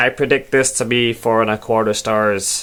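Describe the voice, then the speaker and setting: Putting on a character voice, a man speaks at a moderate pace in a medium pitch, with monotone, flat intonation and very even loudness. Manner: nasal, bookish.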